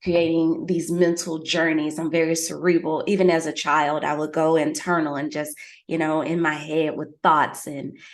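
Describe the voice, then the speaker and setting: A woman with a Southern US accent speaks at a moderate pace, her very deep, low pitch held in fairly even intonation. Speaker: fitness expert and public speaker. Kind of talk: interview.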